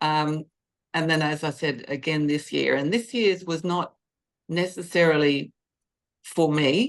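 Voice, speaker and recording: A woman speaks at a fairly slow pace with a very deep, low pitch, ordinary pitch variation, and long, frequent pauses. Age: 60s. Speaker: senior bodybuilding competitor. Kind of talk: interview, personal story.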